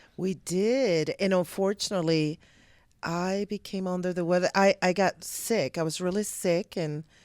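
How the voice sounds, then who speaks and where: In a Puerto Rican accent, a woman speaks at a medium pitch with fairly even intonation, the sound dry and close with no echo on a very clean recording with a silent background. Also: moderate pace. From Puerto Rico, mountain town. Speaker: army warrant officer, guest. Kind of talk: interview.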